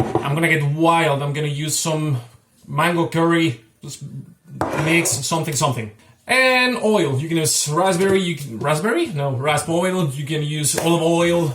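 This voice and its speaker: Over noticeable background noise, a man speaks at a fairly slow pace with fairly high pitch. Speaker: cooking channel host. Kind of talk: cooking tutorial. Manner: halting.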